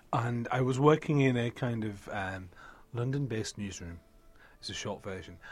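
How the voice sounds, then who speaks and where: This man speaks with a British accent at a moderate pace. His pitch is medium, with ordinary variation. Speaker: book podcast host. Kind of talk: casual chat. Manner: animated.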